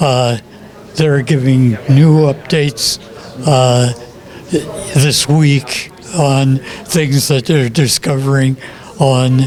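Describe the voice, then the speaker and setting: Over noticeable background noise, a man with a fairly high pitch talks at a very slow pace, with fairly even intonation, very even loudness, and long, frequent pauses. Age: 80s+. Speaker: film ship designer and author. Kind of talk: interview. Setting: comic shop event. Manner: halting.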